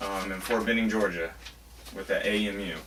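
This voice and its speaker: Fairly low-pitched male voice over noticeable background noise. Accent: American. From US South, Florida panhandle. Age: 20s. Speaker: competitive rifle shooter. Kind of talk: audition interview. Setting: reloading shed.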